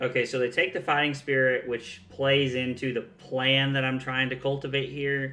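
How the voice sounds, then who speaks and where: Speaking with a Southern US accent, a man keeps a medium pitch and moderate pace with monotone, flat intonation. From US South. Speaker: card game streamer. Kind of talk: live gameplay commentary. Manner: casual, conversational.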